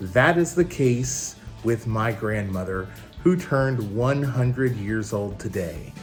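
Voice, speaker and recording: Over background music, a man speaks at a very slow pace in a medium pitch with lively intonation. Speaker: blind video host. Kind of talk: show intro to camera.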